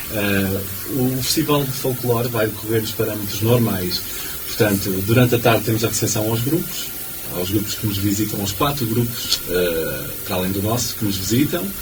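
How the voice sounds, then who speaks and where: Noticeable background noise and audible room echo surround this recording. A man speaks at a moderate pace with a fairly low pitch. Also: ordinary pitch variation. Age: 30s. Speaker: folk group vice-president. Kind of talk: radio interview. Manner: hesitant, many fillers.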